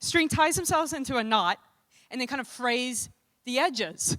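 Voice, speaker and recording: In a very clean recording with a silent background, a woman with an American accent speaks at a high pitch with a bright, sharp tone and lively intonation. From US South, New Orleans. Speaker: conference emcee. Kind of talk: joke telling.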